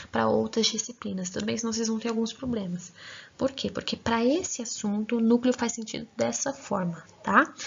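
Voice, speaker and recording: Her pitch is fairly high. The woman sounds somewhat breathy. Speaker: grammar teacher. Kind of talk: lecture.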